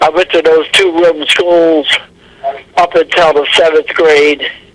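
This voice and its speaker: A man with a high voice speaks fairly slowly in a flat monotone, with an American accent and noticeable background noise. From Delaware and Mid-Atlantic US. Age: 90s. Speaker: war veteran. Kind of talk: oral history interview. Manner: halting.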